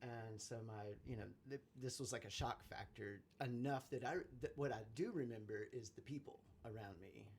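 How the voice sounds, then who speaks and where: This man's voice is somewhat breathy and sits at a medium pitch. He talks at a moderate pace. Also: ordinary pitch variation. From southern West Virginia / Virginia. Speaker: musician. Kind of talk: interview. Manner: halting, many fillers.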